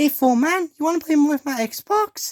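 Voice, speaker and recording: Someone puts on a high-pitched character voice. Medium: audio drama. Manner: brash, slangy.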